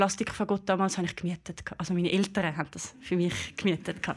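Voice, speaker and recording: The speech comes at a fairly quick pace with hardly any pauses and a monotone, flat intonation. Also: woman. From Switzerland, Aargau (Brugg). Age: 20s. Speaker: bassoonist and music lecturer. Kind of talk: live talk show interview. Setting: stage with live audience.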